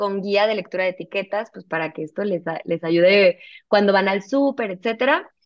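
A woman's medium-pitched voice moves with ordinary pitch variation at a moderate speed. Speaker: nutritionist. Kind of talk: interview conversation.

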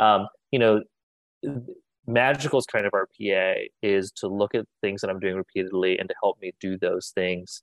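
With an American accent, a man speaks in a fairly low pitch and fairly even intonation. He leaves long, frequent pauses, and the sound is dry and close with no echo. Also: moderate pace. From United States. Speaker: venture capital investor. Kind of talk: interview. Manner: hesitant, many filler words.

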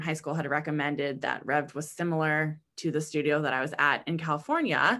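With an American accent, a woman speaks at a fairly quick pace with hardly any pauses, her very deep, low pitch carrying monotone, flat intonation and a bright, sharp tone. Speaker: fitness instructor. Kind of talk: casual interview chat.

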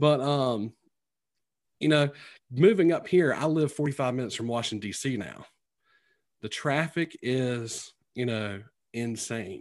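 A man at a medium pitch with a North Carolina accent, fairly slow with long, frequent pauses and ordinary pitch variation, against a quiet background. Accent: Southern US (North Carolina), twangy. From North Carolina, Sampson County. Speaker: teacher and author. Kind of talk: casual interview chat.

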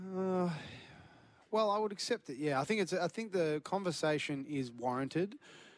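A man with an Australian accent and a high pitch, lively intonation, a fairly slow pace and hardly any pauses, on a very clean recording with a silent background. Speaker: football pundit. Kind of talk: casual chat.

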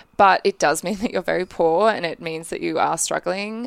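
A woman with an Australian accent is heard on a very clean recording with a silent background and a dry, close sound with no echo. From Australia, Brisbane. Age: 20s. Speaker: film director. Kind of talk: interview. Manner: casual, filler-heavy.

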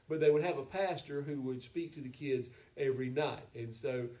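This man has an unremarkable speaking voice, fairly high in pitch, delivered at a moderate pace with fairly even intonation. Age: 50s. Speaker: pastor. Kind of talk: casual chat.

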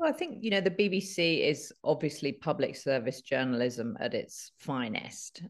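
Against a quiet background, a woman speaks at a moderate pace with hardly any pauses, her fairly low voice making very wide pitch swings. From London, England. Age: 50s. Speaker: journalist and reparations advocate. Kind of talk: interview.

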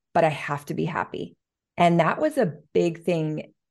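A woman with vocal fry speaks at a moderate pace and a fairly low pitch. Her intonation is fairly even, and the background is quiet. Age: 30s. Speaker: business coach. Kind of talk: interview.

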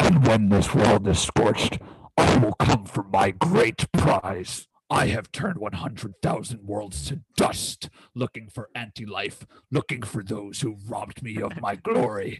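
Using a put-on character voice, a man speaks with a fairly low pitch at a fairly slow pace. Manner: menacing, grandiose.

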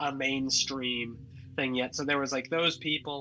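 In a slight Massachusetts accent, a man speaks at a moderate pace with a fairly high pitch and a bright, sharp tone. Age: 30s. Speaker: comedian and website founder.

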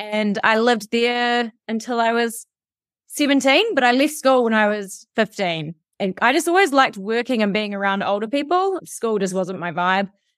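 Here a woman with a New Zealand accent speaks at a moderate pace. Her pitch is fairly high and her intonation lively. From New Zealand, South Canterbury. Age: 30s. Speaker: radio and TV presenter. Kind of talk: casual interview chat.

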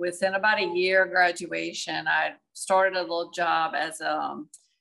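A woman's fairly low, bright, sharp voice in a south Louisiana accent, at a moderate pace with ordinary pitch variation. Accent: south Louisiana Southern US. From Louisiana, Donaldsonville. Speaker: maritime logistics and sales professional. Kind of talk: interview.

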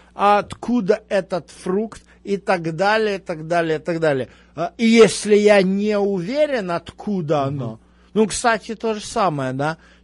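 A man speaks at a fairly slow pace in a high voice, his intonation lively. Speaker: Bible teacher. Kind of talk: religious teaching Q&A. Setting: live radio broadcast.

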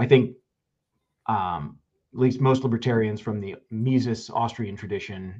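Speaking in a plain, everyday voice, a man keeps a fairly low pitch, a moderate pace and ordinary pitch variation. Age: 30s. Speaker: county council candidate. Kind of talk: casual interview. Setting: live stream.

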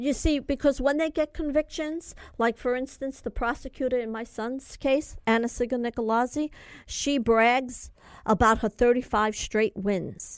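Speaking at a fairly slow pace with a New York accent, a woman with a high pitch and ordinary pitch variation is heard on a very clean recording with a silent background and a dry, close sound with no echo. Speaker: mother advocating for imprisoned son. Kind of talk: interview. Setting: studio.

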